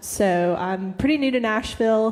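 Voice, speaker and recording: Over noticeable background noise, a woman with an American accent speaks at a medium pitch with ordinary pitch variation. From US Midwest, Missouri. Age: 20s. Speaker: singer-songwriter. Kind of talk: casual stage chat. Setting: stage with audience.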